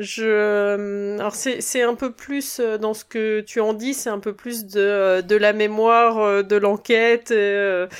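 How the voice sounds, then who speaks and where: Very clean recording with a silent background, featuring a woman at a medium pitch. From Burgundy, France. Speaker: podcast co-host. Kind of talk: casual chat.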